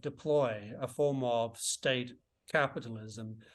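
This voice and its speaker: A man with an Australian accent speaks at a very slow pace against a quiet background. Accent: Australian, often taken for English. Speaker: author and economist. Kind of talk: interview.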